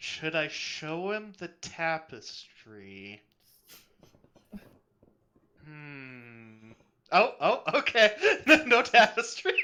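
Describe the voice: A put-on character voice with a fairly high pitch goes at a very slow pace. Long, frequent pauses break up the speech.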